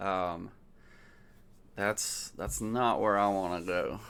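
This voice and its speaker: Mumbling in an American accent, a man speaks at a fairly low pitch. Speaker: political commentator. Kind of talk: casual monologue. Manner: halting, many fillers. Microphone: new mic.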